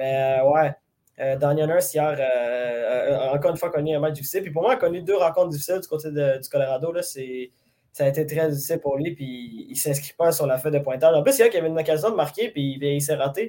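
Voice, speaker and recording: Speaking at a very fast pace, a man has a fairly high pitch and ordinary pitch variation. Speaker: hockey podcast host. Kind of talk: casual sports analysis chat. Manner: halting, many fillers and repetitions.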